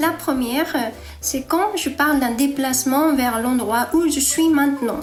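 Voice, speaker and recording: Over music in the background, a woman with a high pitch speaks at a fairly slow pace, her loudness very even and her pitch variation ordinary. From Japan. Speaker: Japanese teacher. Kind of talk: language lesson to camera.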